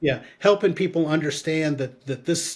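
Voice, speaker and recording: A somewhat breathy male voice, fairly high in pitch, ordinary in its pitch variation, at a moderate pace. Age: 60s. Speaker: marketing consultant and aging advocate. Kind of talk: interview conversation. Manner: halting.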